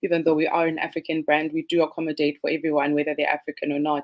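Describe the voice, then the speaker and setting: A woman speaks in a fairly low pitch with a Zimbabwean accent. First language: Ndebele. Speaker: fashion designer. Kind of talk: panel discussion. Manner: frequent hesitations.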